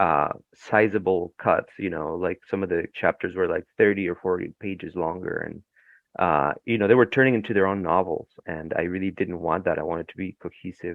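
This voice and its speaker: Speaking with a Spanish accent, a man with a very deep, low pitch talks at a fairly quick pace, keeping his intonation fairly even while his loudness rises and falls sharply. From Ecuador. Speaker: novelist. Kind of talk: interview. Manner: halting, many fillers.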